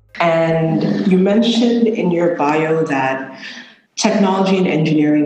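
A man is speaking over noticeable background noise. Audible room echo surrounds his voice. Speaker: podcast host. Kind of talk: interview.

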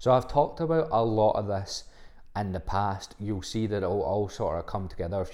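A man's dark, mellow voice in a Scottish accent, fairly low in pitch and fairly quick in pace. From Scotland, Livingston (West Lothian). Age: 20s. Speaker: fitness coach. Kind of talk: casual solo podcast monologue. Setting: home recording, solo podcast.

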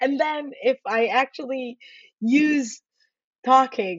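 The speech comes at a very slow pace. The speaker is a woman. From Israel, Haifa. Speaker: software engineer. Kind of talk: interview.

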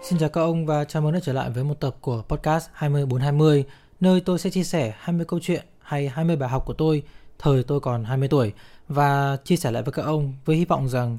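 On a very clean recording with a silent background, a man with a fairly high pitch and a dark, mellow tone speaks at a moderate pace with ordinary pitch variation. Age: 30s. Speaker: podcast host. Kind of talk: casual monologue.

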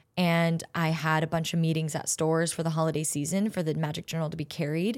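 A woman with an American accent has an unremarkable speaking voice at a fairly low pitch and a fairly quick pace. The recording is very clean, with a silent background. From Southern California, Orange County. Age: 20s. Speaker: podcast host and actress. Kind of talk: interview podcast, casual chat.

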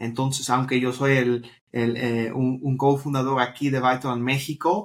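Fairly slow speech from a man at a medium pitch. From Netherlands. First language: Dutch (speaking Spanish). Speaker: startup co-founder. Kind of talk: interview. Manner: halting.

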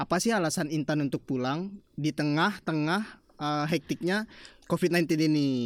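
A plain, everyday voice with ordinary pitch variation comes through in a very clean recording with a silent background. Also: man. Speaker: podcast host. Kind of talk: casual podcast chat. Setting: studio.

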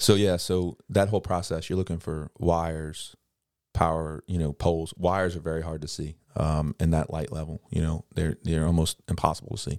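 Man with a Louisiana accent, very deep and low pitch, fairly even intonation and moderate pace, in a dry, close sound with no echo on a very clean recording with a silent background. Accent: Louisiana Southern US. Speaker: helicopter pilot. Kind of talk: casual chat.

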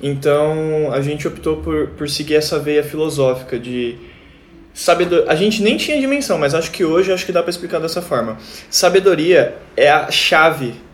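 Noticeable background noise sits behind a man's voice. His pitch is fairly high and varies in an ordinary way. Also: moderate pace. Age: 20s. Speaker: band guitarist. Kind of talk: casual chat.

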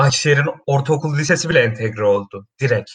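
Somewhat breathy, the voice rushes along at a very fast pace. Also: man. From Turkey, Kastamonu. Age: 20s. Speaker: podcast co-host, architecture student. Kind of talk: casual chat.

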